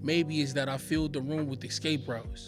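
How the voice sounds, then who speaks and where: A man talks in an American accent. Music is audible in the background. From Cleveland, Ohio. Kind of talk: spoken word poetry performance.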